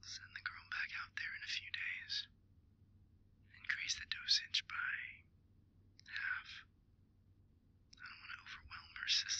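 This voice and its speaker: A put-on character voice comes out raspy at an extremely high pitch. It runs at a moderate pace with long, frequent pauses. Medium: audio drama. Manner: cold, calm, commanding.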